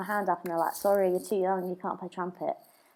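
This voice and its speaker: A woman speaks at a medium pitch with a southern English accent, recorded very cleanly against a silent background. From England, Brighton. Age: 20s. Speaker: drummer. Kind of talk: casual chat.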